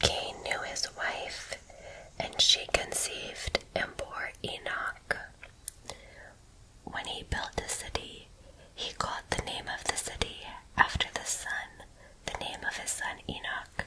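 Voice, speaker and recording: Whispered words from a woman, very slow in pace, broken by long and frequent pauses amid noticeable background noise. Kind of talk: scripture reading. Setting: relaxed porch with nature sounds. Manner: whispered, soft.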